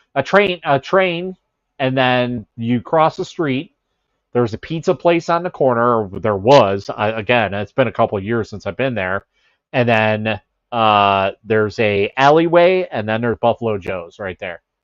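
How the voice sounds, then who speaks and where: Speaking with an American accent, a man uses a medium pitch and lively intonation. His pace is moderate. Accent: Chicago accent, comes out at times. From Chicago area. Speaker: livestreamer. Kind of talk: casual chat. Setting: livestream with headset mic.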